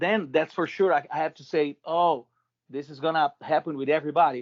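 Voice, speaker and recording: With a Portuguese accent, a man speaks at a fairly quick pace in a fairly high pitch, his intonation fairly even but his loudness swinging widely. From Brazil. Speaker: rock band vocalist and vocal teacher. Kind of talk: interview. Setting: video call. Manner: halting, many repetitions.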